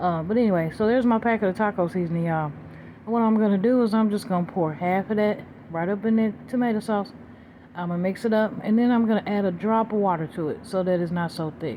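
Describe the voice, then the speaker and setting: A woman with a dark, mellow tone and medium pitch speaks at a very fast pace with ordinary pitch variation. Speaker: cooking vlogger. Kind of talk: casual cooking narration.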